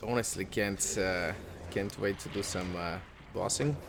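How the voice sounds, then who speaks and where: A man with a non-native accent and a fairly low pitch, fairly even intonation, at a fairly slow pace. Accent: non-native English accent, noticeable. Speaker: gaming YouTuber. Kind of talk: casual gaming commentary. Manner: hesitant, many fillers.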